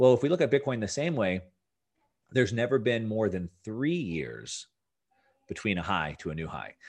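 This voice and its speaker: With a Californian accent, a man at medium pitch speaks at a moderate pace with very wide pitch swings and long, frequent pauses against a quiet background. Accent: General American (California). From Southern California. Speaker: finance and Bitcoin commentator. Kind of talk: interview.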